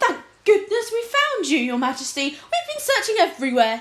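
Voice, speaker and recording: An extremely high-pitched, squeaky put-on character voice from a woman, with very wide pitch swings and a moderate pace. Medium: read story. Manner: smooth and insincere.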